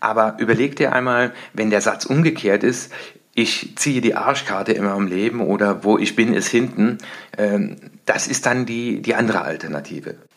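A man with a normal speaking voice, medium pitch, moderate pace and ordinary pitch variation. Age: 50s. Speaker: success coach. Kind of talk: solo podcast monologue.

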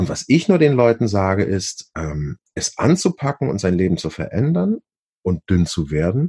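With a dark, mellow tone and a somewhat breathy quality, a man speaks at a fairly low pitch and a fairly slow pace, his pitch swinging very widely in a dry, close sound with no echo. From Hamburg, northern Germany. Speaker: actor and musical performer. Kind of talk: interview.

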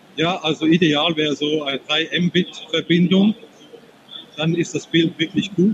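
A man speaks with a fairly high pitch and fairly even intonation. His pace is moderate, with long, frequent pauses. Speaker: software demonstrator. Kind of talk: product demo. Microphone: poor connection, not fully intelligible.

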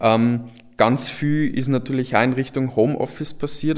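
A man with a plain, everyday voice, medium pitch, a fairly slow pace and fairly even intonation. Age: 20s. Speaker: software entrepreneur. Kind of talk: panel discussion.

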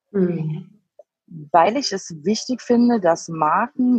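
A woman talks, and her pitch moves in an ordinary way. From Frankfurt am Main, Germany. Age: 30s. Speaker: cosmetics product tester. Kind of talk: interview. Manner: halting, many fillers.

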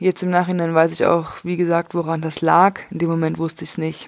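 A woman's fairly low voice at a fairly quick pace, monotone and flat in intonation. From Leipzig, Saxony. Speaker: podcaster. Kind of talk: personal monologue.

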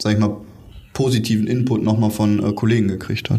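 With audible room echo, a man speaks fairly quickly in a fairly low pitch and a monotone, flat intonation. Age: 20s. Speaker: geriatric nurse. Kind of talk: interview. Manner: halting, many fillers.

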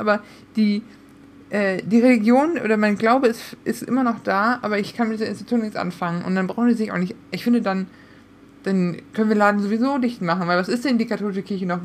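This woman talks very fast in a fairly high voice. Her pitch rises and falls in an ordinary way. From Münsterland, Germany. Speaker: podcast co-host. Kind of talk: casual chat.

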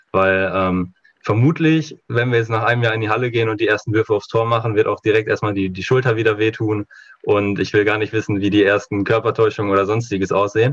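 A man talks at a very fast pace in a fairly low, somewhat breathy voice. His intonation stays fairly even. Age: 20s. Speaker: handball coach. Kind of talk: podcast interview.

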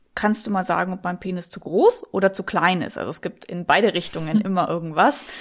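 Heard in a very clean recording with a silent background, the voice carries a slight Bavarian accent and ordinary pitch variation. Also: woman. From Munich, Bavaria. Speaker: sex coach. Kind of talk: interview.

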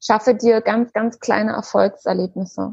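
A woman with a fairly high, somewhat breathy voice speaks at a very slow pace. Her intonation is fairly even, and the sound is dry and close with no echo. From Germany, Berlin. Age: 30s. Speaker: eating disorder coach and part-time nurse. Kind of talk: interview.

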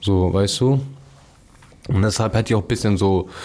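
Here a man talks at a fairly low pitch. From Hamburg, Germany. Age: 20s. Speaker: paraplegic accident survivor. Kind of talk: casual chat.

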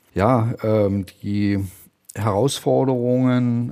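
A man's voice with a dark, mellow tone sits at a medium pitch, his intonation fairly even. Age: 50s. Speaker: bank executive. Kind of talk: corporate interview.

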